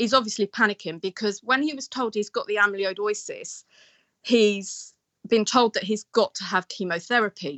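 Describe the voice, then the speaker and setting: A woman with a plain, everyday voice talks at a moderate pace in a fairly high pitch. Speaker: caller. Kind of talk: casual chat. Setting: phone call.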